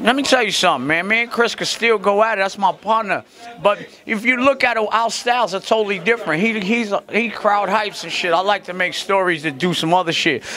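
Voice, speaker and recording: A man's raised, projected voice at a fairly quick pace, with ordinary pitch variation over light background noise. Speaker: interviewee. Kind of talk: interview answer. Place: hall. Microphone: handheld.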